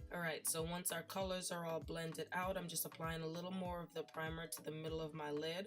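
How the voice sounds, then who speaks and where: With music in the background, a woman speaks at a fairly quick pace with hardly any pauses, a fairly low pitch and a monotone, flat intonation. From Jamaica. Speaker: beauty YouTuber. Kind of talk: makeup tutorial voiceover. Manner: casual, chatty.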